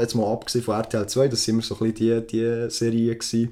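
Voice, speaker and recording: Speaking at a fairly quick pace, a man with a Swiss accent and medium pitch is heard on a very clean recording with a silent background. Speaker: podcast co-host. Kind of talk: casual chat.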